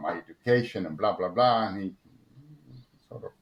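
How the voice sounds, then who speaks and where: Lively intonation marks a man speaking with a Spanish accent. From Argentina. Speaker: motorsport engineer. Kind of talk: interview. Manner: halting, many repetitions and fillers.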